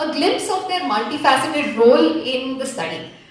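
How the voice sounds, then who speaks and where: Over noticeable background noise and audible room echo, a woman's high voice swings very widely in pitch. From India, Bangalore. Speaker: researcher presenting at a conference. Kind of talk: conference presentation.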